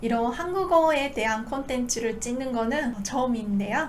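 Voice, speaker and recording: A woman's high voice in a Japanese accent, lively in intonation at a moderate pace, with audible room echo and noticeable background noise. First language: Japanese (speaking Korean). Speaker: Japanese language teacher, YouTuber. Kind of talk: casual talk to camera. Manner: frequent filler pauses.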